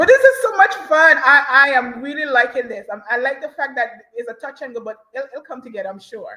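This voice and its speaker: Animated and projecting, a woman talks in a high voice with lively intonation, big swings in loudness and hardly any pauses. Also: fairly quick pace. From Caribbean islands. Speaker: podcast co-host, researcher. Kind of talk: casual discussion.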